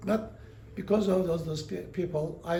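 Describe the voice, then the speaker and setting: A man with a non-native accent speaks at a moderate pace. His pitch is high, and there is audible room echo. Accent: foreign. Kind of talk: interview storytelling. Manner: halting, many fillers.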